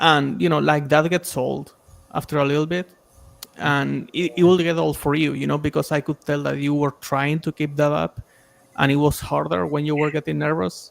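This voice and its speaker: The sound is dry and close, with no echo. A man with a fairly high pitch speaks at a moderate pace with fairly even intonation. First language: not English. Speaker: stream panelist giving feedback. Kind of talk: casual feedback chat on a stream. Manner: conversational, filler-heavy.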